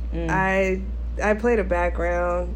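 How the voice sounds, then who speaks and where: Against noticeable background noise, a woman's raspy voice sits very deep and low. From Alaska. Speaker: podcast co-host, active duty military member. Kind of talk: casual chat.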